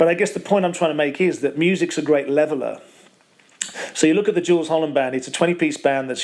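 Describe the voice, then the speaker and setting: This man's voice is fairly high in pitch, with fairly even intonation. Noticeable background noise runs underneath. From West Midlands, Wolverhampton. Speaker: professional bass player. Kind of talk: interview. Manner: halting, many repetitions.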